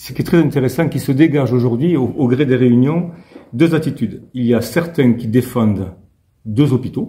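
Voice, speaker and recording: This man has a dark, mellow, somewhat breathy tone at a medium pitch with ordinary pitch variation. He talks at a fairly quick pace. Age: 60s. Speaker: mayor and hospital health worker. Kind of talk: interview. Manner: hesitant, many fillers and repetitions.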